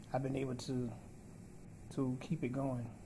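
Noticeable background noise runs throughout. The intonation is monotone and flat. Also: man. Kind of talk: casual vlog chat. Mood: grateful, hopeful. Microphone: phone near.

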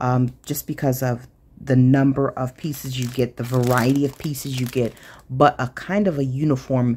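Over light background noise, a woman talks with a very deep, low pitch, a dark, mellow tone and fairly even intonation. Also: moderate pace. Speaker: craft channel host. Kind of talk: casual haul show-and-tell.

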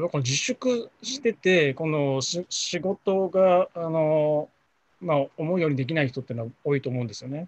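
A man talks at a moderate pace in an unremarkable speaking voice. The background is quiet. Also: fairly high pitch for a man, lively intonation, dry sound with no echo. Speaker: freelance journalist. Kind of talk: video discussion. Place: home room. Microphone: video call.

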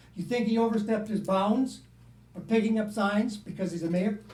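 Audible room echo around a man's fairly quick speech. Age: 70s. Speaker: public commenter at council meeting. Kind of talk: public comment. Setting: council meeting.

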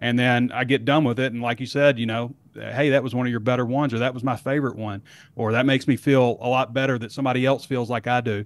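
A man talks at a very fast pace in a monotone, flat intonation. The sound is dry with no echo. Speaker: sports reporter guest. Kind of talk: interview answer. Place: home room. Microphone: studio mic.

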